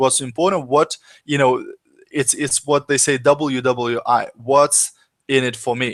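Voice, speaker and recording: Here is a man with a normal speaking voice and a fairly high pitch. He goes at a fairly slow pace, and the sound is dry and close with no echo. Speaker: business coach. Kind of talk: webinar presentation. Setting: live online broadcast.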